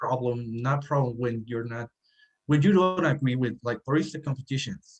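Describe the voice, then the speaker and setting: A man's somewhat breathy voice with a Spanish accent and ordinary pitch variation, dry and close with no echo. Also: medium pitch for a man, moderate pace. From Mexico, Sinaloa. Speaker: cafe owner and architect. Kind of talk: podcast interview. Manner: halting.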